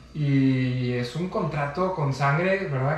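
Room echo is audible and background noise is noticeable as a man with a Mexican accent talks at a fairly high pitch with ordinary pitch variation. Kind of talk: casual chat.

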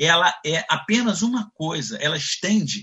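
A man with a Carioca accent speaks with ordinary pitch variation. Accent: Carioca (Rio). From Brazil, Nova Friburgo (Rio de Janeiro state). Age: 60s. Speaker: sales executive. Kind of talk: interview.

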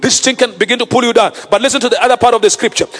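A man with an extremely high pitch, an animated tone and a very fast pace, amid noticeable background noise. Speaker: preacher. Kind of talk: sermon. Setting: online livestream. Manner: animated, call-and-response, urging the congregation to answer; emphatic, repeating key phrases for effect.

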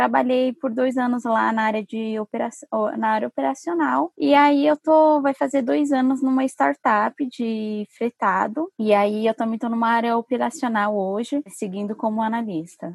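A woman speaks in a plain, everyday voice at a moderate pace with hardly any pauses, her fairly high pitch carrying lively intonation, and the sound is dry and close with no echo. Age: 20s. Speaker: urban mobility specialist. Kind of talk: interview.

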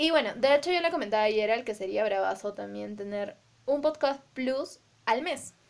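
A woman with lively intonation speaks in a normal speaking voice. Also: fairly high pitch for a woman, moderate pace. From Peru, Arequipa. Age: 20s. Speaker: podcast co-host. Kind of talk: casual chat.

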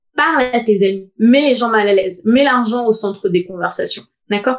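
A woman uses an unremarkable speaking voice, fairly high in pitch with ordinary pitch variation. She talks at a fairly quick pace. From Paris suburbs (Seine-Saint-Denis). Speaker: podcast co-host. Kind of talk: casual chat.

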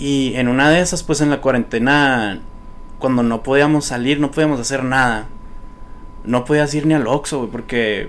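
With fairly even intonation and a medium pitch, a man speaks while noticeable noise sounds behind him. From Sonora, Mexico (Nogales and Hermosillo). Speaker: social media content creator. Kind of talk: casual chat. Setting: studio.

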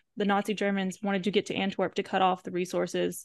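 The speaker has an American accent and a normal speaking voice. Intonation stays fairly even against a quiet background. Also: woman. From US South. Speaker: podcast co-host. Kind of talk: casual chat.

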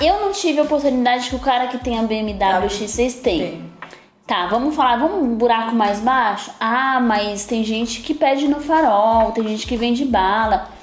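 A woman's fairly high voice with lively intonation at a moderate pace, audible room echo and music in the background. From São Paulo, Brazil (Capão Redondo). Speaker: body analysis coach and podcast co-host. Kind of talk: casual chat.

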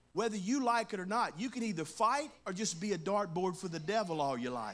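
A man with a Louisiana accent talks at a fairly quick pace with a high pitch and very wide pitch swings. Room echo is audible. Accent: US Southern (Louisiana). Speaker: pastor. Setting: church service with congregation. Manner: conversational asides and humor, coaxing amens from the crowd; fervent, rhythmic preaching cadence with rising emphasis and punchy repeated phrases.

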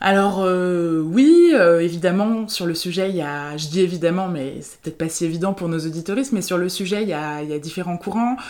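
Fairly quick in pace, a woman with an ordinary speaking voice talks at a fairly low pitch with ordinary pitch variation. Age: 30s. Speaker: therapist. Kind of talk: interview.

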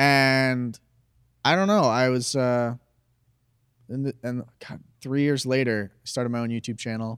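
An American-accented man at a moderate pace, medium in pitch, with ordinary pitch variation and long, frequent pauses. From Arizona. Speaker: YouTuber. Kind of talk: casual chat.

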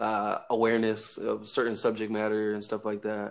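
Speaking at a fairly slow pace, a man with an American accent has a fairly low pitch, heard on a very clean recording with a silent background. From Northern California. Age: 20s. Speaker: online talk show host. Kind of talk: casual chat.

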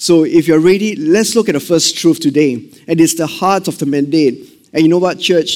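With a Singaporean accent, a man with a high voice talks at a moderate pace in an animated tone, using ordinary pitch variation. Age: 40s. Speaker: missions pastor. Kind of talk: sermon. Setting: church service with congregation.

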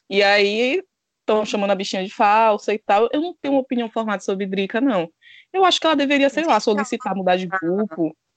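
A woman speaks at a fairly quick pace with lively intonation in a normal speaking voice. The sound is dry and close with no echo, over a quiet background. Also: fairly high pitch for a woman. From Bahia, Brazil. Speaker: reality TV commentator. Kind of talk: casual chat.

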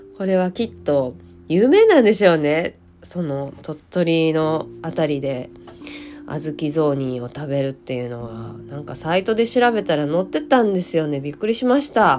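Amid noticeable background noise, a woman with a very deep, low pitch speaks at a moderate pace with very wide pitch swings. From Hyogo, Japan. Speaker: podcaster. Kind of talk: solo podcast talk. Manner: hesitant, many fillers.

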